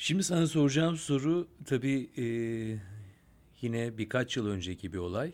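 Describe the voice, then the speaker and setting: Using lively intonation, a man at a medium pitch speaks at a fairly slow pace. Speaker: podcast host. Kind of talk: casual interview.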